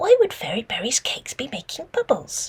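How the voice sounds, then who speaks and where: A woman whispers in a squeaky, put-on character voice. Her pace is fairly quick. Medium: read story.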